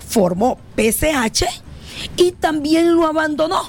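A woman's pitch swings very widely as she talks. Noticeable background noise runs underneath. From Honduras, El Paraíso (Trojes). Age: 30s. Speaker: politician, party leader. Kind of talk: interview.

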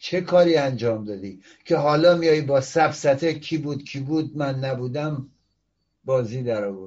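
A man's somewhat breathy, fairly high voice at a moderate pace, with ordinary pitch variation. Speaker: political commentary show host, opposition activist. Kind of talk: political commentary monologue. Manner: animated.

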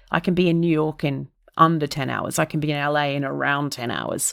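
In an Australian accent, a woman speaks at a very deep, low pitch on a very clean recording with a silent background. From Australia, Melbourne. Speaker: comedian. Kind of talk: casual chat. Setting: podcast interview. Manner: animated.

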